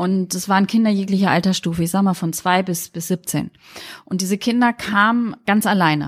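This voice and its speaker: Recorded with a dry, close sound and no echo, a woman speaks in a somewhat breathy voice with fairly even intonation. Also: medium pitch for a woman, moderate pace. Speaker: pediatrician. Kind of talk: interview. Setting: pediatric practice, windows open.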